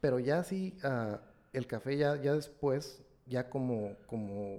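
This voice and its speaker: A man with a plain, everyday voice speaks at a medium pitch with ordinary pitch variation. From Mexico, Ensenada, Baja California. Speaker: coffee and wine enthusiast, systems engineer. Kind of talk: casual interview.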